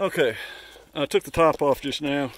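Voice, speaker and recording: A man talks at a moderate pace in a fairly high voice. The sound is dry and close, with no echo. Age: 60s. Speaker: private boat seller. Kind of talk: casual walkthrough video of item for sale. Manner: halting, many fillers.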